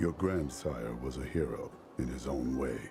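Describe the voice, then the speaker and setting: A put-on character voice at a moderate pace over clear background music. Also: man, very deep, low pitch for a man. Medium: video game. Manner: blunt, terse.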